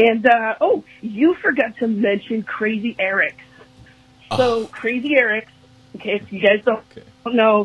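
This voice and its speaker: At a fairly slow pace with long, frequent pauses, a woman with a fairly high pitch speaks in an enthusiastic tone and ordinary pitch variation over light background noise. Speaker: listener leaving voicemail; podcast host. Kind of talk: voicemail message. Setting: phone call. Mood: warm, amused. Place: studio. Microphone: studio mic.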